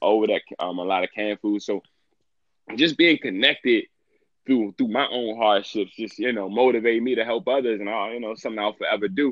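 With an American accent, a man speaks at a fairly quick pace in an ordinary speaking voice, with medium pitch and ordinary pitch variation. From Washington D.C. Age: 20s. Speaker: entrepreneur and activist. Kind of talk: casual interview.

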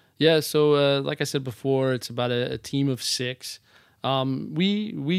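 An unremarkable speaking voice from a medium-pitched man with an American accent and ordinary pitch variation, in a very clean recording with a silent background. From northern New Jersey. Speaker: real estate agent, former performer. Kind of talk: casual interview.

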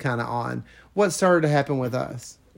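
This man has an ordinary speaking voice with a fairly high pitch. His intonation is lively. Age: 50s. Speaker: former pastor, podcast co-host. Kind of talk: casual chat.

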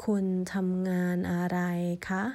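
In a Thai accent, a woman speaks at a medium pitch with a dark, mellow tone and monotone, flat intonation. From Thailand. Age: 40s. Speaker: language teacher. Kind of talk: tutorial.

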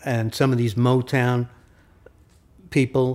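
A man's medium-pitched voice with a dark, mellow tone and a New York accent, at a very slow pace. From New York, Brooklyn/Queens. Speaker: recording engineer and producer. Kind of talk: casual interview. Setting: at his home.

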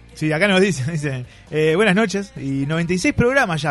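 A man's high-pitched voice with a Uruguayan accent, over noticeable background noise. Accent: Rioplatense Spanish (Uruguayan). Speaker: radio comedy host. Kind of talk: casual comedic radio chat.

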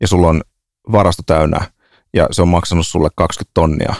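The delivery is monotone and flat, with a dry, close sound, no echo, and a very clean recording over a silent background. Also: man. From Finland, Helsinki (Herttoniemi). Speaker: podcast host. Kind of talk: casual chat.

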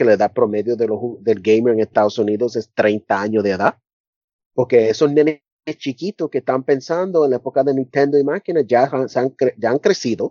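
A man keeps a moderate pace while his pitch swings very widely. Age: 40s. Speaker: university professor. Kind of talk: casual interview. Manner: halting.

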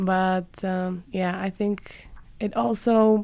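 A woman is speaking. She has a Spanish accent. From Colombia. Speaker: podcast host. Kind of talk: interview.

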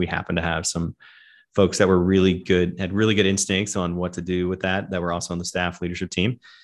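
A man with a very deep, low pitch and an American accent, over a quiet background. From US South. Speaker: pastor. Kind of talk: interview.

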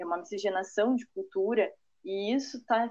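She has a normal speaking voice at medium pitch. The woman talks at a fairly slow pace. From Parobé, Rio Grande do Sul, Brazil. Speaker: architect. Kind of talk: casual interview.

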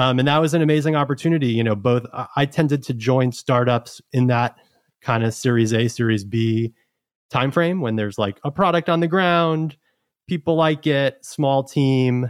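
A man with an American accent and an unremarkable speaking voice speaks at a moderate pace and medium pitch with ordinary pitch variation, in a very clean, dry, close recording with no echo and a silent background. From New York City (Queens). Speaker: startup team member, former ride-hailing operator and investor. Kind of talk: casual chat.

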